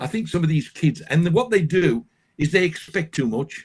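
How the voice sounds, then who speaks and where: A man's fairly high voice with vocal fry, lively intonation and a moderate pace. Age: 70s. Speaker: carp angler and fishing guide. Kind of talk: casual interview chat. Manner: animated.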